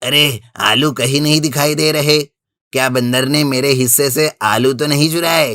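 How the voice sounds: A cartoonish character voice from a man, fairly high in pitch, at a moderate pace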